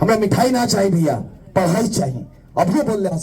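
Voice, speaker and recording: Over noticeable background noise, a man in a playful tone speaks at a high pitch with very wide pitch swings. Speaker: political campaigner / public speaker. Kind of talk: political rally speech. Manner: playful call-and-response with children.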